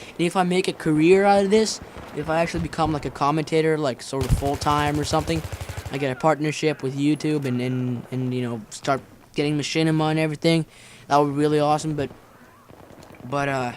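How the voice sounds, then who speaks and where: A man's fairly high voice races along very fast over noticeable background noise. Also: fairly even intonation. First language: Finnish. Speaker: gaming commentator. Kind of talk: gameplay commentary vlog. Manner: fast, stuttering.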